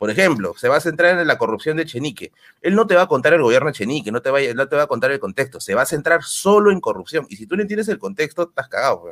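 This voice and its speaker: A man at a very fast pace, with vocal fry and a dry, close sound with no echo. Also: fairly high pitch for a man. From Peru, Tacna. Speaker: history content creator. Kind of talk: casual chat.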